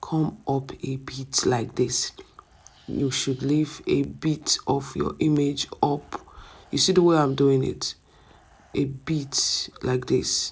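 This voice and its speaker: A soft-spoken voice at a very slow pace. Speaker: ebook design instructor. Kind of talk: tutorial. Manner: conversational, rhetorical questions.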